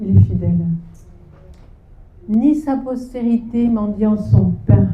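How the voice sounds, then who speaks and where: Audible room echo mixes with noticeable background noise. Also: woman. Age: 60s. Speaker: seminar speaker on parenting. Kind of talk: sermon. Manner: halting.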